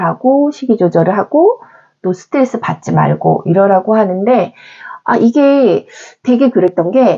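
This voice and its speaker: A woman's ordinary speaking voice, fairly high in pitch, with lively intonation at a fairly slow pace. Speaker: actress. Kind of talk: casual talk to camera.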